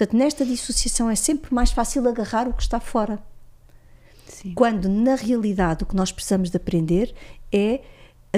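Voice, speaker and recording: The tone of this woman's voice is dark and mellow. She talks at a moderate speed. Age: 50s. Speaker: psychologist and systemic consciousness facilitator. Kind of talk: interview, explanatory teaching.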